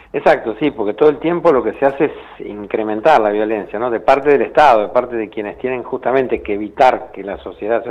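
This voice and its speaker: This man talks fairly quickly at a medium pitch, with ordinary pitch variation. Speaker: human rights official. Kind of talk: interview.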